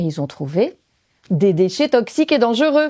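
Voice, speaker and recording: A woman with a Belgian accent, fairly high in pitch, with a dark, mellow tone. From Belgium. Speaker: former French teacher, storyteller. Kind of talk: stage storytelling.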